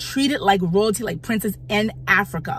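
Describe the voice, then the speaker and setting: A woman's medium-pitched voice with an American accent. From United States. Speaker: YouTube commentator. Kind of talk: opinion vlog commentary. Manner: halting, many repetitions.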